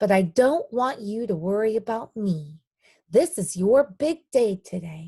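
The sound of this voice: In a quiet background, the speaker uses an unforced reading voice with lively intonation.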